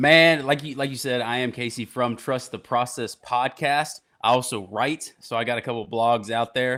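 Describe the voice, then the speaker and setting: With a Southern US accent, a man of medium pitch speaks in a bright, sharp tone at a moderate pace, his intonation fairly even and hardly any pauses. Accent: southern twang. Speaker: podcast host.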